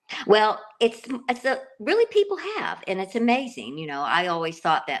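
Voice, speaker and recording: A woman talks at a fairly quick pace with a Southern US accent. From US South, Georgia and South Carolina. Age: 70s. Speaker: author and family descendant. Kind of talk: interview.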